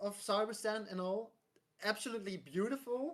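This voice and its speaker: A woman's fairly high voice with a non-native accent, lively intonation and a moderate pace. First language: not English. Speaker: gaming podcast guest. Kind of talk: casual chat. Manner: halting.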